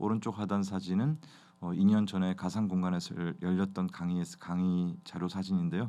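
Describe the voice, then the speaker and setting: Against a quiet background, a man with a very deep, low pitch and a dark, mellow tone speaks at a moderate pace with fairly even intonation. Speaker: ophthalmologist, glaucoma specialist. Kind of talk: educational review talk. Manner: hesitant, many fillers.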